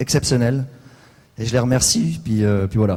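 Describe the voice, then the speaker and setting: At a moderate pace, a man with a Franche-Comté accent talks at a medium pitch with ordinary pitch variation. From eastern France, Franche-Comté. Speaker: real estate agent. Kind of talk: award acceptance speech. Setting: stage at convention with audience. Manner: halting.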